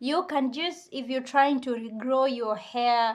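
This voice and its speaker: A woman with a non-native accent speaks at a high pitch with ordinary pitch variation, on a very clean recording with a silent background. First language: not English. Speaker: beauty vlogger. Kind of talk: tutorial. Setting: at home. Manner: halting.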